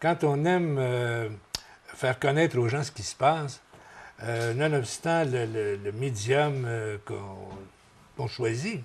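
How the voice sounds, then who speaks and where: A man's medium-pitched voice at a very slow pace, with long, frequent pauses and ordinary pitch variation. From Quebec, Berthierville area. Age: 70s. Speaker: retired radio broadcaster. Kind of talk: interview. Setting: tv studio. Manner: halting.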